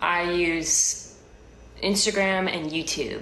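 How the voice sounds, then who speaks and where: Over light background noise and audible room echo, a woman speaks in a fairly low pitch with fairly even intonation. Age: 20s. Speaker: live streamer. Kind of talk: casual chat. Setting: home kitchen. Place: home room. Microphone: phone near.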